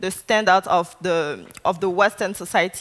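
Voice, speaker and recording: A woman speaks at a moderate pace with a French accent. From Ivory Coast. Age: 20s. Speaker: artist and activist. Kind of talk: keynote speech. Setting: conference stage with audience.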